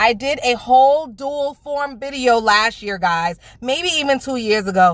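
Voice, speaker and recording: A woman with a New York accent talks loudly and at a fairly slow pace, her high pitch carrying an animated tone and lively intonation over noticeable background noise. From New York (Bronx), Jamaican family. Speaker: nail beauty YouTuber. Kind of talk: product unboxing review.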